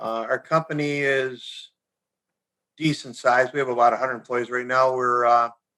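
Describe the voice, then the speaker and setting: At a moderate pace, a man with an American accent speaks in a medium-pitched, monotone, flat voice. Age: 70s. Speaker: company founder and CEO. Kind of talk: interview.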